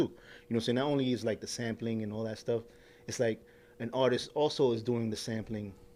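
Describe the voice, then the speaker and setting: A man speaks with a New York accent at medium pitch. His pace is fairly quick. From New York, Queens (Corona). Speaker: rapper. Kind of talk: casual chat. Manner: animated.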